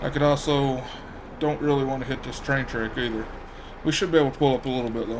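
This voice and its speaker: Over noticeable background noise and audible room echo, a man at medium pitch talks at a very fast pace with fairly even intonation and long, frequent pauses. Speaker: gaming youtuber. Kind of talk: gameplay commentary. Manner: relaxed.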